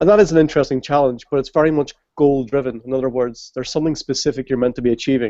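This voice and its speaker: Man talking at a very fast pace with fairly even intonation. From Ireland. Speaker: games user research expert. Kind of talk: interview on live video hangout.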